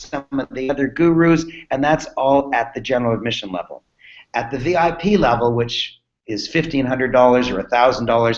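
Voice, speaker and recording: A man speaks with a medium pitch and ordinary pitch variation. His pace is fairly quick. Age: 60s. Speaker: business coach. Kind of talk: sales pitch. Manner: animated.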